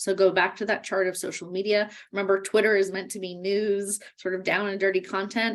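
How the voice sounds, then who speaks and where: A woman speaks at a medium pitch. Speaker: workshop instructor. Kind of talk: webinar lecture. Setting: virtual webinar. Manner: fast.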